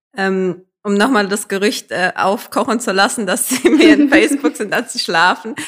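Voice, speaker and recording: A woman talks at a moderate pace with lively intonation and a fairly high pitch. Hers is a plain, everyday voice. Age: young. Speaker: podcast host. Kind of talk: interview. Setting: town hall office.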